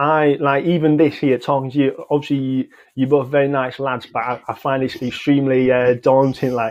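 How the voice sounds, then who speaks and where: A man with a Yorkshire accent talks at a fairly high pitch. His intonation is monotone and flat, with hardly any pauses. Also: moderate pace. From northern England, Halifax. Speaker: football fan who walked to a match. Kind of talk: interview. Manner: monotone when nervous.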